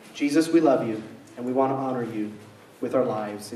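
A man at a moderate pace, with light background noise and audible room echo. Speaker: pastor leading service. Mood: quiet reverent prayer. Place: church.

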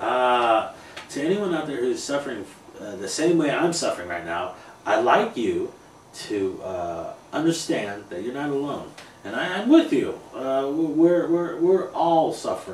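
A man speaking at a fairly slow pace, with audible room echo and light background noise. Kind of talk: interview answer. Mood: earnest, frustrated. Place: home room. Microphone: camera far.

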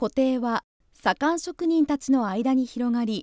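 Recorded with a dry, close sound and no echo, a woman with a high pitch and a dark, mellow tone uses lively intonation. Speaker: narrator. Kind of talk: scripted narration.

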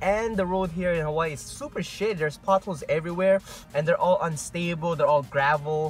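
Over faint background music, a man talks at a fairly quick pace with ordinary pitch variation, the sound dry with no echo. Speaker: vlogger. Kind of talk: casual vlog chat. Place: car. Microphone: earbuds.

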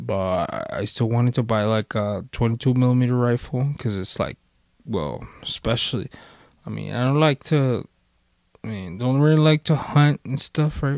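A medium-pitched man at a fairly slow pace with ordinary pitch variation, recorded very cleanly against a silent background, with a dry, close sound and no echo. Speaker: YouTube vlogger. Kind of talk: casual storytelling monologue. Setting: home recording with handheld microphone. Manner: rambling, halting with many fillers.

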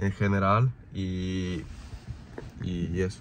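A man speaks at a low pitch. His tone is dark and mellow.

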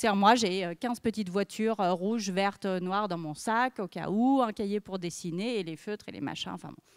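This woman speaks at a moderate pace and medium pitch against a quiet background. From France. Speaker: journalist and author; journalist. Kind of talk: talk to an audience. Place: stage. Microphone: handheld.

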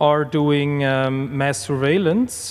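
Speaking very slowly, a man keeps his intonation fairly even. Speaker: conference presenter. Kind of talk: lecture. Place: stage. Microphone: podium.

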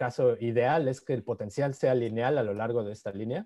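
A man with a Mexican accent, his tone dark and mellow, against a quiet background. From Mexico. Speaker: physicist giving a seminar; presenter. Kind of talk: lecture. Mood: happy, warm greetings. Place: home room. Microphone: video call.

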